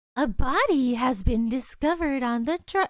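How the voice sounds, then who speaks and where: The voice sounds female and is pitched high for a woman. She is doing a put-on character voice. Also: moderate pace. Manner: playful announcing.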